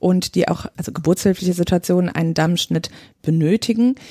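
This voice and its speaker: In a dry, close sound with no echo, a woman of medium pitch speaks very fast in a dark, mellow tone with ordinary pitch variation. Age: 30s. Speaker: midwife. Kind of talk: podcast interview.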